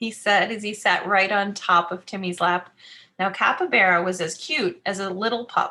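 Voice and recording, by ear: The speaker is reading aloud in a natural voice. The words are read from a text.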